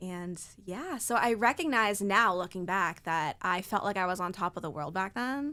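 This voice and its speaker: A woman's unremarkable speaking voice at medium pitch, with an American accent, a moderate pace, and a very clean recording with a silent background. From Maine, US. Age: 20s. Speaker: model and author. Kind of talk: podcast interview.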